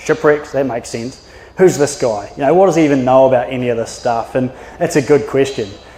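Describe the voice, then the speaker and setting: A very fast man's voice with a New Zealand accent, fairly high in pitch with ordinary variation, against noticeable background noise. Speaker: maritime archaeologist. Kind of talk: public talk. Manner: casual, with filler words.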